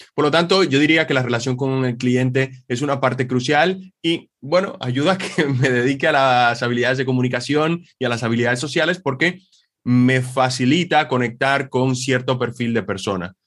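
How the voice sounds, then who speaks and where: At a moderate pace with hardly any pauses, a man with a slight Dominican accent talks at medium pitch with ordinary pitch variation. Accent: Dominican accent barely noticeable. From Dominican Republic. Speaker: sales and communication trainer. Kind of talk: interview.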